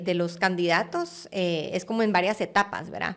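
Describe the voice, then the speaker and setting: Here a woman speaks with a slight Guatemalan accent. The background is quiet. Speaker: art curator; podcast guest. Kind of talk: interview conversation. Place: studio. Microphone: studio mic.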